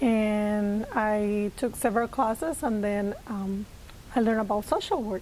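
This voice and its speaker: Speaking fairly slowly with a Puerto Rican accent, a woman keeps her fairly high-pitched voice on a fairly even intonation. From Puerto Rico, rural area. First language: Spanish. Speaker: social worker. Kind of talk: interview.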